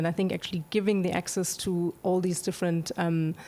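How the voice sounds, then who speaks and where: A woman speaks at a fairly quick pace with a non-native accent. Her medium-pitched voice stays monotone and flat. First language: not English. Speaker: streaming animation executive. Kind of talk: panel discussion. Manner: halting, many fillers.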